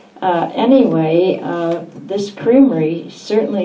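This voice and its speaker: A woman's fairly low voice at a very slow pace, with audible room echo and noticeable background noise. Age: 80s+. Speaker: longtime local resident. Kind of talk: reading aloud and reminiscing. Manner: halting.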